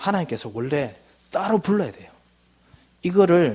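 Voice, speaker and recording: A man with a high pitch. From Gyeongsang, South Korea (Daegu). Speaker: missionary, guest preacher. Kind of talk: sermon. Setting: church service.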